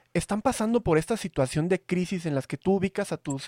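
Lively intonation runs through this man's speech. The recording is dry and close, without echo. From Veracruz, Mexico. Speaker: podcast host. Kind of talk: casual chat. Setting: video call.

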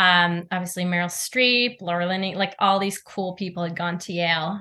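Over a quiet background, a woman speaks with a bright, sharp tone at a fairly low pitch. Her intonation is monotone and flat. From Norway. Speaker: actress. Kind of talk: interview.

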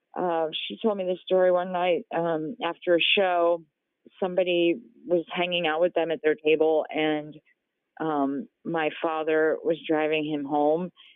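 A woman's unremarkable speaking voice, fairly low in pitch and fairly slow, with fairly even intonation and an American accent. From New Jersey. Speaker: singer and former photo department worker. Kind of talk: interview.

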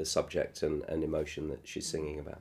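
On a very clean recording with a silent background, a man speaks in a British accent. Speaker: television producer and musical creator. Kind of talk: interview conversation. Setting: room near theatre. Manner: halting.

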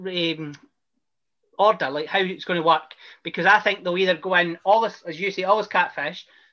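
The speaker has a Scottish accent. The pace is fairly quick. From Scotland. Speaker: podcast host. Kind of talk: casual interview.

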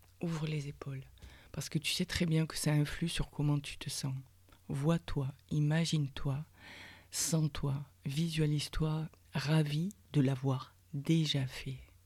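On a very clean recording with a silent background, the speech comes at a very slow pace in a monotone, flat intonation, somewhat breathy and warm in tone, with long, frequent pauses. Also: woman. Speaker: podcast host, personal development coach. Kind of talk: guided meditation. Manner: slow, soft, calming, with pauses between instructions; warm, intimate, addressing listener as tu.

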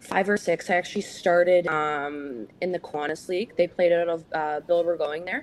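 A woman with a Canadian accent, fairly low pitch and a moderate pace, against noticeable background noise. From St. Catharines, Ontario, Canada. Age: 20s. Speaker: professional hockey player. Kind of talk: interview. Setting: video call.

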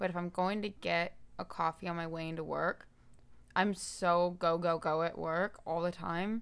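On a very clean recording with a silent background, a woman with an American accent speaks at a moderate pace, in a fairly low pitch, with monotone, flat intonation. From Daytona Beach, Florida. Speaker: podcast guest, host's sister. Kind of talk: casual chat.

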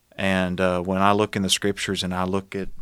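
A man with a Tennessee accent speaks at a moderate pace in a very deep, low voice. The recording is very clean, with a silent background. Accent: Southern US (Tennessee). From Middle Tennessee, US South. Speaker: former church minister. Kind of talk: interview testimony. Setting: studio.

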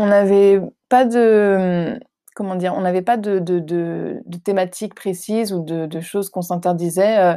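The voice has a dark, mellow tone, a fairly slow pace and fairly even intonation. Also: woman, medium pitch for a woman. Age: 20s. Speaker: actress and theatre director. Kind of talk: interview. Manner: hesitant, many fillers.

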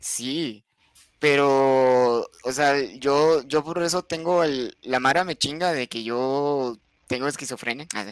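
A man with a fairly high pitch speaks very slowly. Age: 20s. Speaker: streamer. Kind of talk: casual chat.

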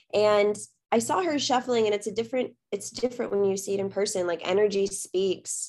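A woman's plain, everyday voice with an American accent, medium pitch, fairly quick pace, and fairly even intonation, in a very clean recording with a silent background. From South Texas. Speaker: dancer and content creator. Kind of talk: casual interview.

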